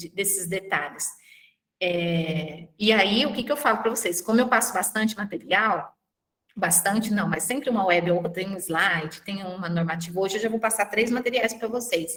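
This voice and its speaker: With ordinary pitch variation and a medium pitch, a woman speaks in an ordinary speaking voice at a moderate pace. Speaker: university lecturer and thesis advisor. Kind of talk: online class session.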